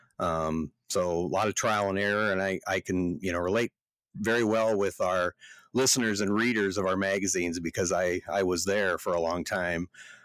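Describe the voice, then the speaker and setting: Over a silent background in a very clean recording, a man with a Midwestern US accent speaks in a very deep, low voice at a moderate pace, his intonation fairly even and his loudness very even, the sound dry and close with no echo. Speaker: podcast co-host, farm magazine editor, farmer. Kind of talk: casual chat.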